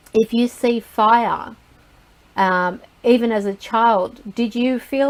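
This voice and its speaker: A woman with fairly high pitch speaks in an ordinary speaking voice and fairly even intonation. The recording is very clean, with a silent background. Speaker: psychic reader. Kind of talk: live group talk.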